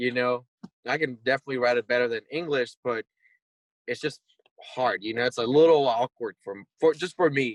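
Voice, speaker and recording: Recorded dry and close with no echo, a man speaks at medium pitch with ordinary pitch variation. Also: moderate pace. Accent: Spanish. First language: Spanish. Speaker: rock band singer and lyricist. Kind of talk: casual interview.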